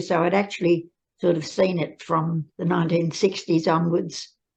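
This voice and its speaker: A woman's fairly low voice with vocal fry, at a fairly slow pace. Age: 90s. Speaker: carer advocate. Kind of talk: interview. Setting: pre-recorded video.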